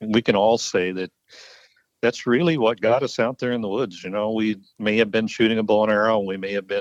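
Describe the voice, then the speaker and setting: In a normal speaking voice, a man talks at a fairly quick pace with a fairly low pitch and fairly even intonation, the sound dry and close with no echo and a quiet background. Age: 60s. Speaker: bowhunting historian. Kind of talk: casual interview chat.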